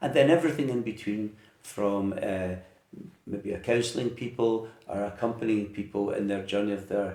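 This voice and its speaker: A man with a fairly low, dark and mellow voice speaks at a moderate pace with ordinary pitch variation. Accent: west of Scotland. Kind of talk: interview. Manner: hesitant.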